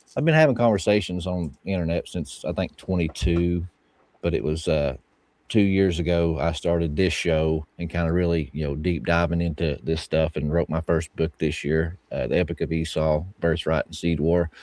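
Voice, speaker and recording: In a Southern US accent, a man with a very deep, low voice speaks at a moderate pace with fairly even intonation, recorded in a dry, close sound with no echo against a quiet background. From US South, Bible Belt. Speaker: podcast host and author. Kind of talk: casual interview chat.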